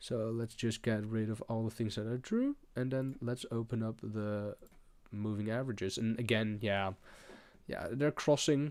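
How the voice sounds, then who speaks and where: A man speaks with a strong Dutch accent at a medium pitch and a moderate pace, his intonation fairly even. The recording is very clean, with a silent background. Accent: thick Dutch. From Netherlands. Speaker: crypto trader streamer. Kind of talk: live trading tutorial. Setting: live stream. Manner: hesitant with fillers.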